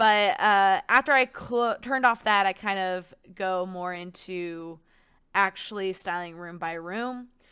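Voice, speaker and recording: A woman at a fairly slow pace and medium pitch, with a bright, sharp tone, ordinary pitch variation and big swings in loudness, in a very clean recording with a silent background. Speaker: gaming content creator. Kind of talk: casual gameplay commentary. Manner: halting, stuttering today; casual, filler-heavy.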